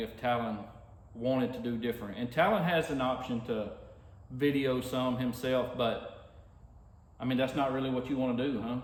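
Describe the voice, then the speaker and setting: A man with a Louisiana accent talks at a moderate pace and medium pitch. Audible room echo and noticeable background noise fill the recording. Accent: Southern US (Louisiana). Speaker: racing dad and vlogger. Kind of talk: casual chat. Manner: talkative.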